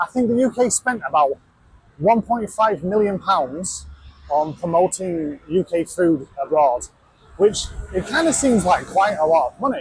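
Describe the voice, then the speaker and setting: Against noticeable background noise, a man with a high voice speaks at a fairly slow pace with lively intonation. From Yorkshire, England. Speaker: travel vlogger. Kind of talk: casual vlog talk. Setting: out and about walking. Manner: casual with many fillers.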